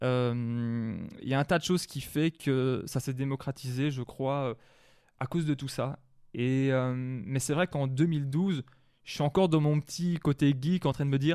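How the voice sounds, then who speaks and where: In a dry, close recording with no echo and a quiet background, a man with a dark, mellow tone speaks at a fairly slow pace. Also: fairly high pitch for a man. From Wallonia, Belgium (La Louvière area). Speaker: hip-hop record collector and manager. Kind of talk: interview. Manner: hesitant, many fillers.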